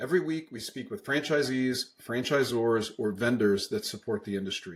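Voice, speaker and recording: His voice sits at a medium pitch and sounds somewhat breathy. The man keeps a moderate pace. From US, Pennsylvania (Bucks County). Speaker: podcast host. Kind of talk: podcast interview.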